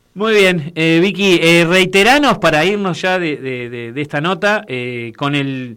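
On a very clean recording with a silent background, a man with a bright, sharp tone and fairly high pitch talks at a fairly slow pace with lively intonation. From Uruguay. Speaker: radio host. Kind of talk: radio interview.

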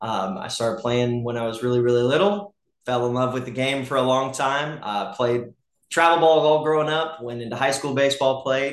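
A man with an American accent talks at a fairly quick pace, his pitch varying in an ordinary way. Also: medium pitch for a man. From US South, Gwinnett County, Georgia. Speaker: high school baseball coach. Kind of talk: casual interview. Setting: in a home kitchen.

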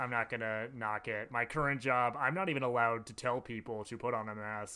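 A man of medium pitch at a fairly quick pace. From US Midwest, Madison, Wisconsin. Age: 20s. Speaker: podcast co-host. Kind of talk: casual chat.

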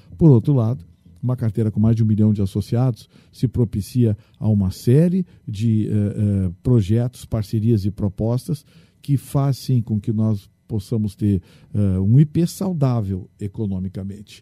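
Speaking at a fairly slow pace, a man with a fairly low pitch and a dark, mellow tone is heard in a dry, close sound with no echo. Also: ordinary pitch variation. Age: 60s. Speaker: state legislator, lawyer and radio journalist. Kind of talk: interview.

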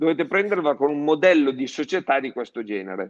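This is a man with a plain, everyday voice, fairly high pitch and lively intonation. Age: 60s. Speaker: plastics distribution executive. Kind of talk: public live-streamed conversation. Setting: live stream.

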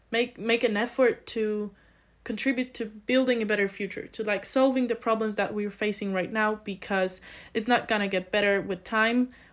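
Recorded very cleanly against a silent background, a woman with a Polish accent speaks in a fairly high pitch with monotone, flat intonation. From Poland, small village. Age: 20s. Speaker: student, committee chair. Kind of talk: interview.

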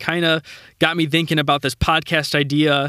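A man with a fairly high pitch and a normal speaking voice, at a moderate pace on a very clean recording with a silent background. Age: 20s. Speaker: podcast host. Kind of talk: solo monologue. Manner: casual, with laughs.

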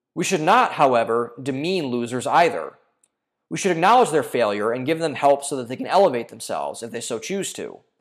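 In a normal speaking voice, a man talks at a fairly quick pace with a fairly high pitch and lively intonation, on a very clean recording with a silent background. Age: 20s. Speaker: podcast host. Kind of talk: reading aloud; casual chat.

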